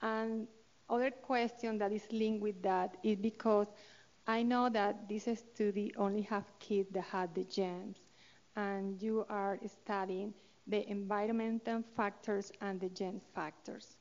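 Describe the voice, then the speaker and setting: A woman in a Colombian accent, medium-pitched, fairly slow and monotone, with flat intonation. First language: Spanish. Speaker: study participant parent in audience. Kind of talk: audience question. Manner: halting.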